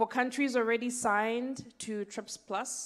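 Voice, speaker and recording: A woman speaks with fairly even intonation. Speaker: session rapporteur. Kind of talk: conference report summary. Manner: fast.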